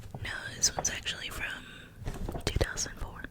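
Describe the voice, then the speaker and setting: A woman whispers at a fairly slow pace. There is noticeable background noise. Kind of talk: ASMR magazine flip-through, soft spoken. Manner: whispered, soft-spoken.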